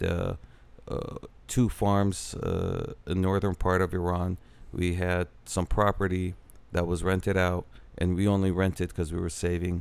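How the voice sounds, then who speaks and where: Speaking at a moderate pace, a man has a very deep, low pitch and monotone, flat intonation. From Iraq. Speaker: entrepreneur and real estate developer. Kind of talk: interview. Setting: cigar lounge.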